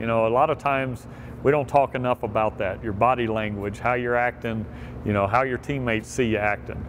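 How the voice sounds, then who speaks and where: A man talking at a fairly quick pace, music in the background. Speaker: quarterback coach. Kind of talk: instructional talk to camera. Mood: upbeat, encouraging. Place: street. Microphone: lapel.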